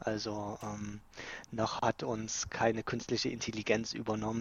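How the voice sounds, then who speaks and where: In a monotone with flat intonation, a man speaks at a fairly low pitch. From Saxony, Dresden. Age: 30s. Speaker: office worker. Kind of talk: casual chat. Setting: remote call from home office.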